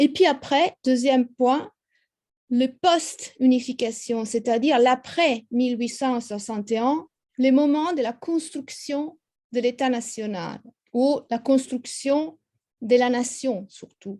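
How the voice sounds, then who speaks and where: Very slowly, a woman with an Italian accent speaks in a high pitch and a dark, mellow tone against a quiet background. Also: ordinary pitch variation. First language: Italian (speaking French). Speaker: history professor. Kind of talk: lecture. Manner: halting, many hesitations.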